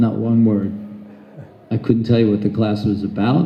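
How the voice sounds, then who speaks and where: Recorded with audible room echo, a man with an American accent speaks at a moderate pace and a medium pitch. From United States. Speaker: Hare Krishna preacher. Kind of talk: religious talk. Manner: loud; animated.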